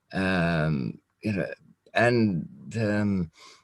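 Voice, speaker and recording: A man speaks with lively intonation. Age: 60s. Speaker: former smuggler, channel host. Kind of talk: casual interview chat. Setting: Skype call. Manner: halting, many fillers.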